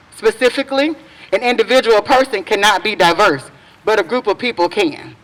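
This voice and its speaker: A woman talks at a fairly quick pace with a fairly high pitch. Noticeable background noise runs underneath. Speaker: parent and education activist. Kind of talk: prepared speech. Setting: outdoor public event in the rain, microphone. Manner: loud.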